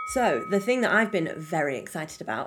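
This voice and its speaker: A woman with an American accent. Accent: British accent drifting American. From Britain. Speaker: podcast co-host. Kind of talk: casual chat. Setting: studio.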